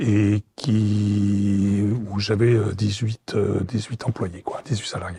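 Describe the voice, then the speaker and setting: A man speaks very slowly in a dark, mellow tone with fairly low pitch. His intonation is monotone and flat, and his voice is somewhat breathy. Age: 60s. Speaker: retiree, former business owner. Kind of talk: interview. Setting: studio set. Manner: hesitant, many fillers.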